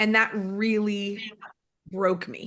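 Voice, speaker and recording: A woman speaks in an animated way with a New York accent. Her tone is bright and sharp. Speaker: network marketing executive. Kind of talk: motivational talk. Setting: conference call.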